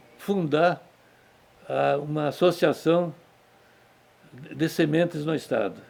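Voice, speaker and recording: At a very slow pace, a man talks in a fairly high pitch with fairly even intonation. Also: long, frequent pauses. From southern Brazil (Rio Grande do Sul). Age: 80s+. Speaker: cattle rancher. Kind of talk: interview testimony. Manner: halting.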